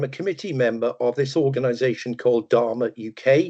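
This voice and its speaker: Dark, mellow tone from a man at a moderate pace, with ordinary pitch variation and a quiet background. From Wales, Merthyr Tydfil. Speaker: data management consultant. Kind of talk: webinar presentation. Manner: hesitant, many fillers.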